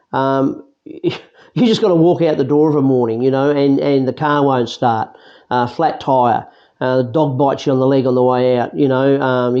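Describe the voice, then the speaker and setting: With an Australian accent, a man speaks at a fairly quick pace and a medium pitch in a dark, mellow tone. His intonation is fairly even and his loudness very even. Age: 60s. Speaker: interviewee sharing life experience. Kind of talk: casual chat.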